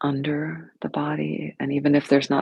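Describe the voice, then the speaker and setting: A woman speaks softly. The sound is dry and close, with no echo. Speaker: yoga and meditation teacher. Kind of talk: guided meditation. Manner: soft-spoken; slow.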